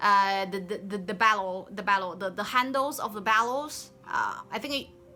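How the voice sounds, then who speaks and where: Noticeable background noise accompanies a woman speaking with a Chinese accent at a moderate pace. Her pitch is fairly high, with ordinary pitch variation. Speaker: game developer. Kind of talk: work progress update. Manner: halting, many fillers and restarts.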